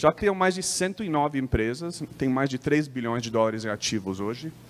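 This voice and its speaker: Lively intonation at a moderate pace. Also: man, medium pitch for a man. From United States. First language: English (speaking Portuguese). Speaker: company sales lead presenting. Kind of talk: trade show presentation. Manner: halting, many false starts and fillers.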